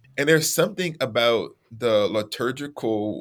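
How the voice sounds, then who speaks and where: A man with an unremarkable speaking voice, medium-pitched with ordinary pitch variation, speaks at a moderate pace in a very clean recording with a silent background. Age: 40s. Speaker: theologian and author. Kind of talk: casual interview conversation.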